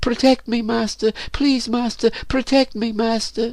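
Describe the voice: In a put-on character voice, a man speaks at an extremely high pitch with vocal fry and little pitch movement. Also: fairly slow pace, slightly mellow tone.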